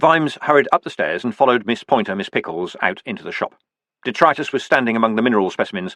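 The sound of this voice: Lively intonation in an unforced reading voice, set against a quiet background.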